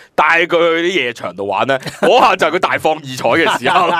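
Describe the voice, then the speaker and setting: At a moderate pace, a man with a fairly high pitch talks over noticeable background noise. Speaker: podcast co-host. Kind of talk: casual chat. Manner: animated.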